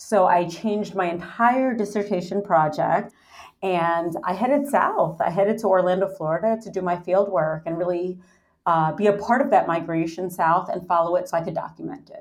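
At a moderate pace and with ordinary pitch variation, an ordinary speaking voice talks with an American accent. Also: woman, medium pitch for a woman. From New York City. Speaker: anthropology professor. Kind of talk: interview.

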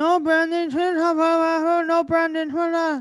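A put-on character voice, shouted at an extremely high pitch, very slow and monotone with flat intonation. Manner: monotone, yelling.

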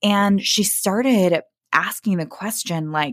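Speaking fairly slowly with lively intonation, a woman with an American accent has a medium pitch and an unremarkable speaking voice. The recording is very clean, with a silent background. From US Midwest, Kansas City, Missouri. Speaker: app founder. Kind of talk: podcast interview.

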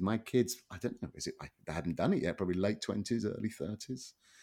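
Words pour out of this man at a very fast pace. The pitch of his voice sits fairly low. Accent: Southern English. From England. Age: 50s. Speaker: economist and author. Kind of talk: interview. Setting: remote call. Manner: halting.

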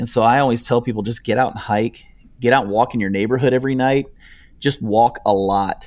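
On a very clean recording with a silent background, a man with an American accent and an ordinary speaking voice talks at a fairly quick pace, medium in pitch with fairly even intonation. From northern Ohio and upstate New York. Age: 40s. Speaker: hiker and YouTuber. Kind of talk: interview.

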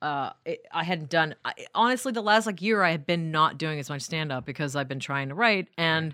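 A woman with an American accent speaks at a moderate pace in a very deep, low pitch. Her tone is bright and sharp, and her intonation is lively. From New York. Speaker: stand-up comedian. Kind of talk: casual chat.

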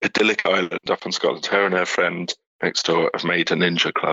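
A man's very deep, low voice at a moderate pace, monotone and flat in intonation. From southeast England. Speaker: single father. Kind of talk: interview. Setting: phone call. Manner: halting.

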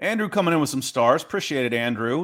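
A man speaks in an unremarkable speaking voice with an American accent, his intonation lively and his pace fairly quick. The recording is very clean, with a silent background. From US South, Atlanta, Georgia. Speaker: sports analyst. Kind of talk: casual chat.

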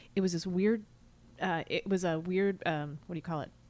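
Here a woman has an unremarkable speaking voice at a medium pitch. She talks at a fairly quick pace against a quiet background. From US Midwest. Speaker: actress and writer. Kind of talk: casual chat.

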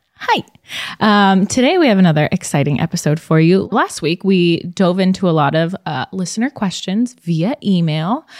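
In an unremarkable speaking voice, a woman talks at a moderate pace and medium pitch with lively intonation, the sound dry and close with no echo. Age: 20s. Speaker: podcast host. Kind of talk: casual chat.

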